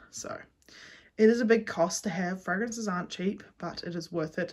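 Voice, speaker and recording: With a New Zealand accent, a woman speaks in a somewhat breathy voice at a medium pitch, keeping her intonation fairly even. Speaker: small business owner, candle and soap maker. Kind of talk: studio tour vlog. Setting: home garage studio. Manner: fast.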